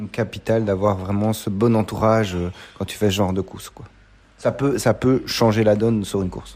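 In a fairly low voice, a man talks at a moderate pace with monotone, flat intonation and big swings in loudness. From Belgium. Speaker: podcast host, amateur trail runner. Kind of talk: interview. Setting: café.

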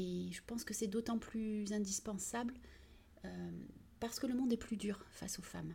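At a moderate pace, a woman with a fairly high voice uses fairly even intonation. She leaves long, frequent pauses. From southern France, Vitrolles near Marseille. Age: 40s. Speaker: municipal economy and employment director. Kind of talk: interview. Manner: hesitant, many fillers.

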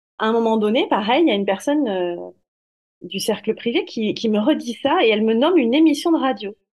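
A woman with a plain, everyday voice speaks at a fairly high pitch. Her intonation is lively and her pace moderate. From southern France. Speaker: medium and corporate finance manager. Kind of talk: interview.

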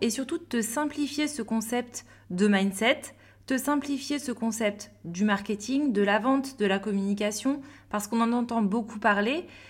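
Talking at a fairly slow pace, the woman has an unremarkable speaking voice, with a fairly high pitch and ordinary pitch variation. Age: 30s. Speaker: business coach and podcast host. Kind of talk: solo podcast monologue. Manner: upbeat.

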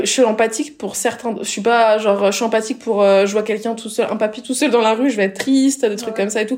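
A woman's plain, everyday voice, fairly high-pitched, with fairly even intonation and a fairly quick pace. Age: 20s. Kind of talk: casual chat.

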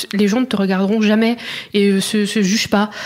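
A woman's monotone, flat intonation over noticeable background noise. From France, Burgundy (Auxerre). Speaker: blogger. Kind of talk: interview. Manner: hesitant, many fillers.

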